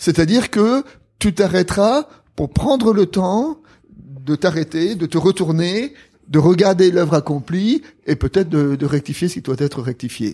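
A man with a high pitch and a dark, mellow tone talks at a fairly slow pace with lively intonation. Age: old. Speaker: theologian and retired pastor. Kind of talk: conversational interview on theology.

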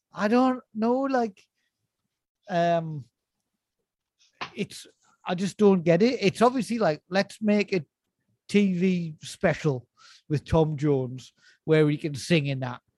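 Speaking slowly with long, frequent pauses, a man uses a high voice, a slightly mellow tone and lively intonation.

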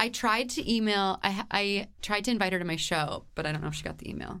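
A woman talks at a fairly quick pace in an animated, bright, sharp tone. Her pitch is medium with ordinary variation. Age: 30s. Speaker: comedian and singer. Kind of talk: casual interview chat.

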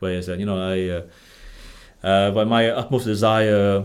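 A Vietnamese accent, monotone, flat intonation and a moderate pace. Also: man. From Vietnam, Ho Chi Minh City. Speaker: stand-up comedian. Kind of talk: casual interview conversation. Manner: halting, many fillers.

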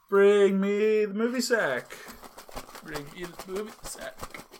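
A man's croaky, put-on character voice, high-pitched and fairly slow. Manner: sickly, croaky.

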